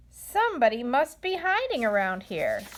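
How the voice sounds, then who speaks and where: Pitch leaps very widely up and down in a put-on character voice. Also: woman, high pitch for a woman, moderate pace. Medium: read story.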